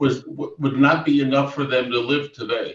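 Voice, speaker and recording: A man speaks at a moderate pace with an American accent, his voice somewhat breathy. His pitch sits fairly high, with ordinary variation. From US, Lancaster, Pennsylvania. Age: 80s+. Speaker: retired professor. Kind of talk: panel discussion. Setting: video call. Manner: halting.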